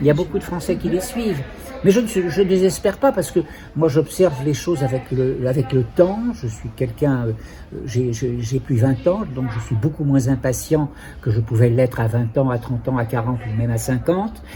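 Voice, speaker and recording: A man's fairly high voice at a moderate pace, with lively intonation and noticeable background noise. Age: 70s. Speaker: psychotherapist. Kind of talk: interview testimony. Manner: halting.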